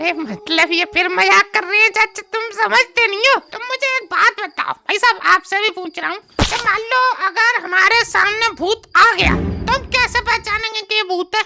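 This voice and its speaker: A woman uses a put-on character voice at an extremely high pitch. She speaks with hardly any pauses. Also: moderate pace. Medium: comedy sketch. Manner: chatty, stammering, curious.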